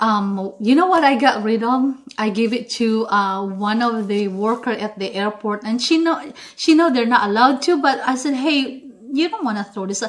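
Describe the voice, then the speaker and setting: A woman with an animated tone and fairly high pitch, in a Philippine accent, over noticeable background noise. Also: ordinary pitch variation, moderate pace. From Philippines, Visayas. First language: Bisaya. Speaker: cooking vlogger. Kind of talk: tutorial.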